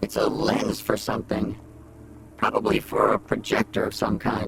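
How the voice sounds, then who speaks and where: Against clear background noise, a man performs in a put-on character voice. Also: moderate pace. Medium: machinima. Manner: sarcastic, dry.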